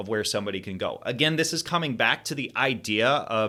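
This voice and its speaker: A man's medium-pitched voice with a bright, sharp tone, ordinary pitch variation and a moderate pace. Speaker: health educator. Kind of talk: lecture with slides. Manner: halting with fillers and self-corrections.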